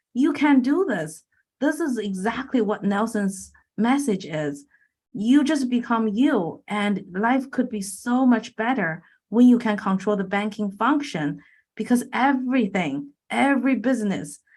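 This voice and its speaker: A woman with a Chinese accent speaks at a fairly slow pace, fairly high and somewhat breathy, with lively intonation. The recording is very clean, with a silent background. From China. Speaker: infinite banking coach and real estate investor. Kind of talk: podcast interview.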